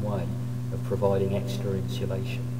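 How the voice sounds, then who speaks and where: Loud noise fills the background. Over it, a man speaks at moderate speed. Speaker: cave safety instructor. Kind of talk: instructional demonstration. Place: tunnel cave.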